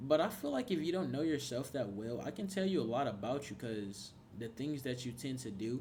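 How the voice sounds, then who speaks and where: This man talks at a fairly quick pace in a medium-pitched, somewhat breathy voice. His intonation is lively. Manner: calm, relaxed.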